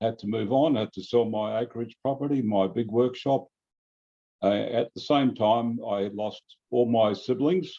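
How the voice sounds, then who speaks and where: With an Australian accent, a man speaks at a moderate pace and medium pitch in a dark, mellow tone, his pitch varying an ordinary amount. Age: 70s. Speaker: radio sailing club member. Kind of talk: interview. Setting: video call.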